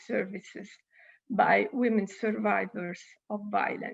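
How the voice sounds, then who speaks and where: With an Italian accent, a woman speaks at a fairly high pitch with vocal fry. Her intonation is monotone and flat, and her pace is fairly slow. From Italy. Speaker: UN official speaker. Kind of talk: conference speech. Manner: halting.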